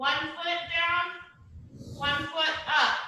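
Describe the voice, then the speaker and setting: A woman's raised, projected voice at an extremely high pitch, with audible room echo. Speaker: exercise class instructor. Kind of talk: guided exercise class. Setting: video call. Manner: loud.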